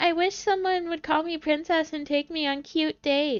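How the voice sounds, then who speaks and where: In a put-on character voice, the speaker sounds squeaky and high-pitched, moving at a moderate pace. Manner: mocking imitation.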